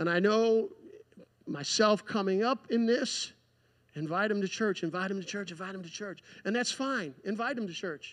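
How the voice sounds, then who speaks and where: Ordinary pitch variation over a quiet background. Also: man, high pitch for a man, moderate pace. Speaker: preacher. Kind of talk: sermon. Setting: church. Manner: earnest, pleading, fervent. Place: church.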